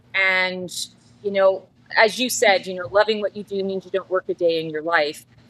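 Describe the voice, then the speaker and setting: In a Canadian accent, a woman speaks at a moderate pace and medium pitch with ordinary pitch variation and big swings in loudness, her sound dry and close with no echo. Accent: Canadian, Midwest-like, still noticeable. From Canada. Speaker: psychic. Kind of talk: interview conversation. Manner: talkative, long-winded.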